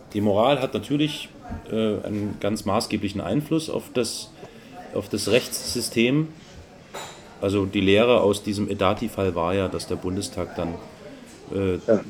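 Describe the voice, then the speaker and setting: With noticeable background noise behind him, a man speaks at a fairly slow pace and fairly low pitch, leaving long, frequent pauses. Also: ordinary pitch variation. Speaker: podcast co-host. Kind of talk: casual chat. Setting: home study.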